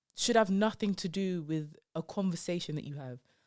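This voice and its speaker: A woman speaks with a London accent. The recording is very clean, with a silent background. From London, England. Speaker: comedian. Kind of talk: casual chat. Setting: podcast interview.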